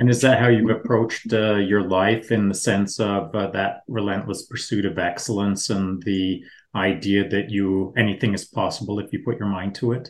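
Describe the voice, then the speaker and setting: Over a quiet background, a man talks in a plain, everyday voice with fairly low pitch and fairly even intonation. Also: moderate pace. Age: 60s. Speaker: special operations veteran co-host. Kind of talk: interview, casual chat.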